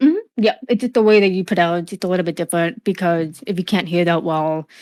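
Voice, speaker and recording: A woman's very fast speech with an American accent and ordinary pitch variation. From USA, Cuban family. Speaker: streamer, gamer. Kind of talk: interview. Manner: halting, many fillers.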